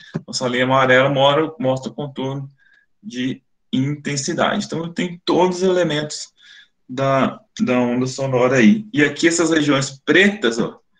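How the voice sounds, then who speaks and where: Lively intonation and a moderate pace from a man with a fairly high pitch. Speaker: phonetics professor, webinar speaker. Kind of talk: lecture. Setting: online webinar.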